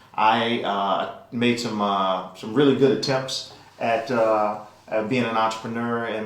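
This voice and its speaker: Over noticeable background noise and audible room echo, a man with an American accent speaks at a fairly low pitch. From New Orleans, US South. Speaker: venture capital investor. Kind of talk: interview. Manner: hesitant with fillers.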